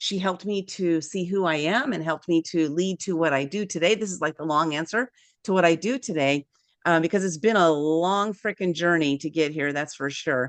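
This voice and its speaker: A woman with an American accent speaks fairly quickly in an animated tone, her pitch fairly low with ordinary variation. The sound is dry and close with no echo, over a quiet background. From San Diego, California. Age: 60s. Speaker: author and publisher. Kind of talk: interview.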